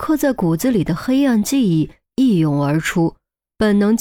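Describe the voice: Against a quiet background, the speaker reads plainly aloud with lively intonation.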